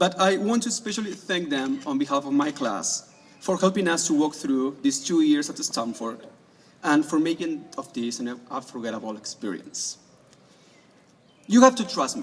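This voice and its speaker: Someone with an Argentine accent speaks at a moderate pace with very wide pitch swings, against noticeable background noise. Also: man, fairly high pitch for a man. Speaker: graduating student speaker. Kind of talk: graduation speech.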